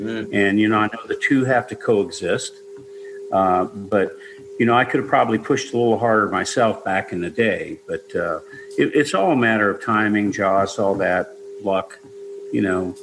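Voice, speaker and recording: A man talks at a moderate pace while background noise is plainly audible. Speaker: singer-songwriter. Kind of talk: interview.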